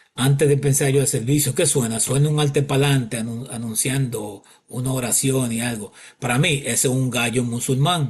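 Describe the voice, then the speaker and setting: A man of medium pitch talks at a moderate pace with fairly even intonation. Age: 60s. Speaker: bible teacher. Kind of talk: bible teaching monologue. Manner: halting.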